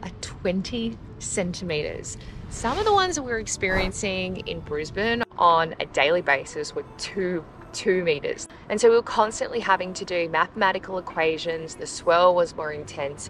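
A woman speaks at a moderate pace with ordinary pitch variation and big swings in loudness. There is light background noise, and the sound is dry with no echo. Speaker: sailing vlogger. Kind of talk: casual vlog chat. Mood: cheerful, relaxed. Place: boat. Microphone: phone near.

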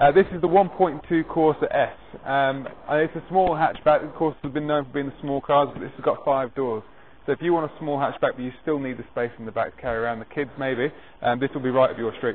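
Speaking at a fairly quick pace, a man shows ordinary pitch variation. Light background noise sits underneath. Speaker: car salesman. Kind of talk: sales walkaround presentation. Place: street.

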